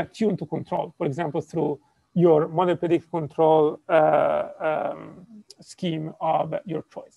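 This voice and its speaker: A man's high-pitched voice with a dark, mellow tone and an Italian accent, dry with no echo, over a quiet background. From Italy. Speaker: robotics professor. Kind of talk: lecture. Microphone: video call.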